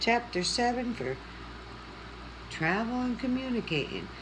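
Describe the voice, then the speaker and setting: Noticeable background noise sits under the recording. A woman talks at a fairly slow pace. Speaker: coloring video creator. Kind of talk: casual chat while coloring. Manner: chatty, conversational.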